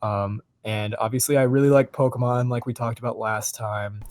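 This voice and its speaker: On a very clean recording with a silent background, a man speaks at medium pitch and a moderate pace with fairly even intonation. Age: 20s. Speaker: podcast co-host, university student. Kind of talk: casual chat.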